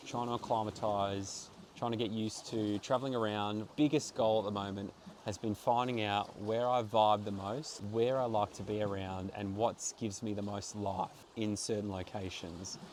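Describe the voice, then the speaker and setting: Hardly pausing at all, a man with an Australian accent and a fairly low pitch talks at a moderate pace with fairly even intonation. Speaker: travel vlogger and actor. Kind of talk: casual vlog reflection. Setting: outdoors in a backyard.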